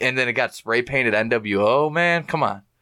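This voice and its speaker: A man talks at a moderate pace with medium pitch. He has an unremarkable speaking voice. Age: 20s. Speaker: professional wrestler. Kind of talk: casual chat. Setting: home studio.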